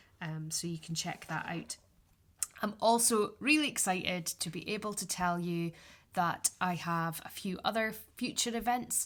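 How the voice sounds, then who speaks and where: Ordinary pitch variation in a northeastern Scottish accent. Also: woman, medium pitch for a woman, moderate pace. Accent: Scottish (north-east, Aberdeenshire). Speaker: podcast host, yarn dyer and craft teacher. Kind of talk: solo podcast chat. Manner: casual, with frequent fillers.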